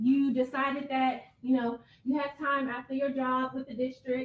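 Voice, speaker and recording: A woman speaks loudly at a high pitch. Her tone is animated. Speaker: ethics attorney presenter. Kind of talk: interactive training presentation. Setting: room with live audience.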